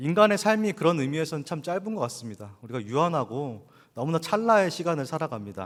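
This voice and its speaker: A man is speaking. His pitch swings very widely. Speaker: pastor. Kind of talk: sermon. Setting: church.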